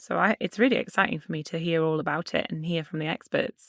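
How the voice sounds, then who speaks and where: Someone with a British accent speaks at a very fast pace, recorded very cleanly against a silent background. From UK. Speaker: podcast co-host. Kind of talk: casual podcast chat.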